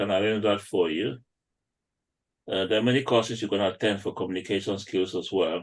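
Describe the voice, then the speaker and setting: A man's fairly low voice at a fairly quick pace, with a non-native accent. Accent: non-native accent, noticeable to UK patients. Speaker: doctor. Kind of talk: panel discussion.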